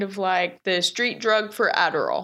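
A woman with an American accent, an ordinary speaking voice, and ordinary pitch variation. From Texas. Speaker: business owner in addiction recovery. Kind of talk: interview.

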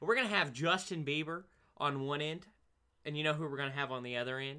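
A man's fairly high, upbeat and energetic voice with an American accent, a bright, sharp tone and ordinary pitch variation. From Oregon. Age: 20s. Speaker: podcast host. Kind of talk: casual solo monologue. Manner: upbeat, energetic; fillers and stammering.

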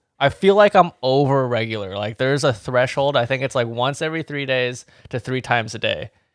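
In an ordinary speaking voice, a man talks at a fairly quick pace with hardly any pauses, the sound dry and close with no echo on a very clean recording with a silent background. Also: medium pitch for a man, ordinary pitch variation. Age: 30s. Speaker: podcast co-host. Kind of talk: casual chat.

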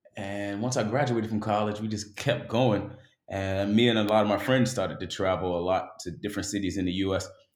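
A man speaks at a fairly quick pace with an American accent, his pitch fairly low and his intonation fairly even. Audible room echo surrounds the voice. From West Baltimore, US. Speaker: travel blogger. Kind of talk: casual chat.

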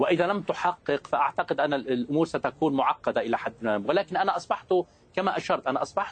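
A man talks at a moderate pace with ordinary pitch variation and a fairly high pitch. The sound is dry and close, with no echo. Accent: Lebanese. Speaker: political analyst. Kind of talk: heated debate. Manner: animated.

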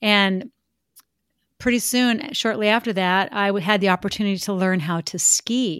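A woman with a normal speaking voice, medium-pitched and at a moderate pace, on a very clean recording with a silent background and a dry, close sound with no echo. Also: ordinary pitch variation. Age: 50s. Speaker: former Olympic skier and speaker. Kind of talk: interview conversation.

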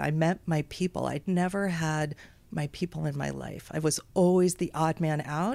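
The speech moves at a moderate pace with fairly even intonation, on a very clean recording with a silent background. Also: woman. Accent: American. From Texas, Houston. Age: 50s. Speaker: parent coach and educational consultant. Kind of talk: interview.

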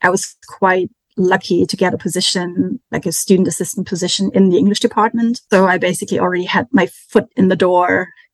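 A woman talks at a moderate pace with vocal fry and a medium pitch. The sound is dry and close, with no echo. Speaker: literature lecturer. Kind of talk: interview, casual chat.

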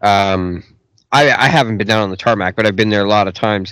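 With a Canadian accent and a normal speaking voice, a man talks at a fairly quick pace and a fairly low pitch. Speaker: podcast host. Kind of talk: casual interview chat. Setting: studio.

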